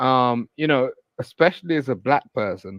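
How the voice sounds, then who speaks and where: Someone with a British accent speaks at a fairly slow pace. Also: man, dry, close sound with no echo. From England, London. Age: 40s. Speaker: caller. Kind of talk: casual chat. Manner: halting.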